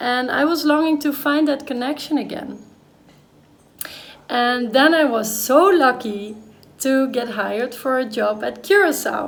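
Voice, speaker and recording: A woman with a Dutch accent and a high pitch, at a fairly slow pace with long, frequent pauses, over noticeable background noise. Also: ordinary pitch variation. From Netherlands. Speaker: vlogger. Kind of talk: personal vlog monologue.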